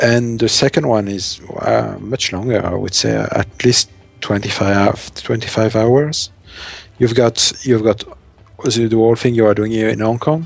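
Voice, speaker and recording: With music in the background, a man with a strong French accent talks at a fairly slow pace and a medium pitch. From France. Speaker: game streamer. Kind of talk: live gameplay commentary. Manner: halting, frequent repetitions and fillers.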